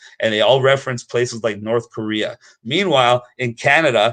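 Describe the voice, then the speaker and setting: An animated tone at a fairly quick pace, with a dry, close sound with no echo. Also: man. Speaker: activist promoting private schooling. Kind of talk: impassioned advocacy speech. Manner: fast.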